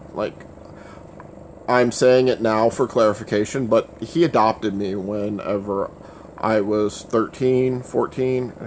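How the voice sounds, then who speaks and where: Against noticeable background noise, a man of medium pitch talks at a fairly slow pace with fairly even intonation. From Louisiana. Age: 30s. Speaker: livestreamer. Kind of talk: casual livestream chat. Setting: livestream. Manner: stutters at times.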